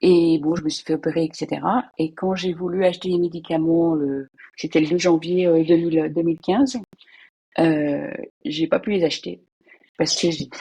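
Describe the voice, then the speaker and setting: Her tone dark and mellow, a woman talks at a moderate pace with fairly low pitch, ordinary pitch variation and long, frequent pauses. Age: 60s. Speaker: retired civil servant. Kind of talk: interview testimony. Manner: halting, hesitant.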